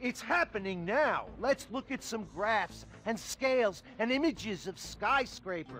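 Against faint music in the background, a man uses a put-on character voice that is high-pitched and fairly bright, with big pitch swings at a fairly slow pace.

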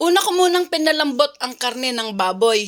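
Using a plain, everyday voice, a woman talks at a moderate pace. Her intonation is lively. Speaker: cooking vlogger. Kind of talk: cooking tutorial.

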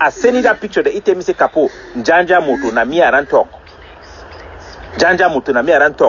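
At a fairly quick pace, a man with a fairly high pitch and a fairly bright tone speaks with lively intonation.

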